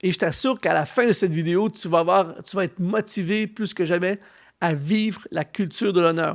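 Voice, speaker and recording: A man with a Canadian French accent speaks at a moderate pace in a high pitch. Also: very clean recording, silent background. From Canada. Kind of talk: sermon-style teaching.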